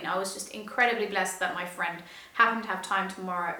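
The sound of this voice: Amid strong room echo, a woman speaks in a bright, sharp tone with fairly even intonation.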